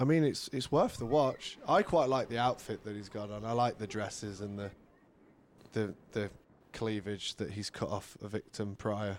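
A man with an unremarkable speaking voice talks at a moderate pace and a fairly low pitch, with ordinary pitch variation. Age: 30s. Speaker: podcast guest. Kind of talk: casual chat.

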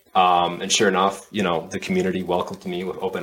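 A man with an American accent speaks at a moderate pace in a very deep, low voice with flat, monotone intonation over noticeable background noise. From US Midwest, Minneapolis area. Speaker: airsoft player and content creator. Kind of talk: casual chat.

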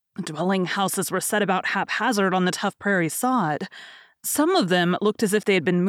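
This is plain reading aloud. The text is simply read out.

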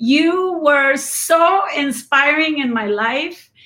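Raising and projecting her voice, a woman speaks with a Spanish accent in a bright, sharp tone. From Mexico. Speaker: business owner. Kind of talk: casual interview chat. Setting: video call, live stream.

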